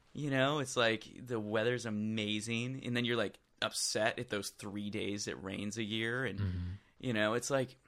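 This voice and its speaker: A man speaks at a moderate pace with a medium pitch and an American accent. His intonation stays fairly even. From Michigan, US. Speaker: music producer. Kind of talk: casual conversation.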